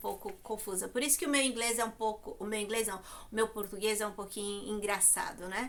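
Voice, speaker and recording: Her pitch is fairly high and her intonation fairly even. The woman keeps a moderate pace. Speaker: YouTuber. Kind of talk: vlog monologue. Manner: hesitant, many fillers.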